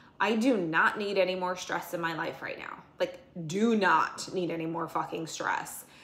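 A woman at a medium pitch and moderate pace, fairly even intonation, with audible room echo. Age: 40s. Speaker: fitness vlogger and bodybuilding competitor; fitness competitor vlogger. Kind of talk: casual vlog monologue. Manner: casual, filler-heavy. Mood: frustrated, venting. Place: kitchen. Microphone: phone near.

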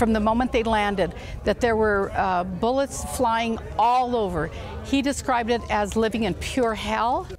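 Music plays in the background as a woman talks at a moderate pace with ordinary pitch variation. Her loudness stays very even, and the sound is dry with no echo. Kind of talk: interview answer. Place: open country. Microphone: lapel.

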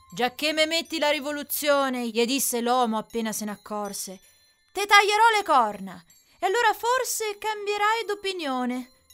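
Over background music, a woman with a high pitch speaks with very wide pitch swings. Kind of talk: dialect poem read over background music.

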